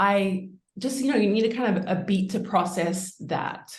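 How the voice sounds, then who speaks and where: Audible room echo surrounds a woman speaking with a slight New Zealand accent. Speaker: winemaker. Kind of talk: interview.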